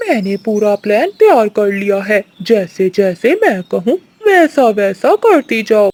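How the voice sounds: In a cartoonish character voice with a fairly high pitch, the speaker goes very slowly with hardly any pauses.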